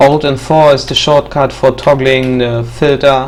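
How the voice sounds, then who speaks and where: This man speaks fairly slowly with a non-native accent and a monotone, flat intonation. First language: not English. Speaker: mapping tutorial maker. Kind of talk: tutorial. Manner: hesitant, many fillers.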